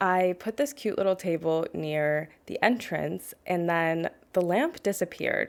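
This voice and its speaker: In a very clean recording with a silent background, a soft-spoken woman talks at medium pitch with lively intonation. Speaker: gaming video creator. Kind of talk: voiceover commentary on a game build. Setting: home apartment. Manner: quiet, soft-spoken; casual, conversational.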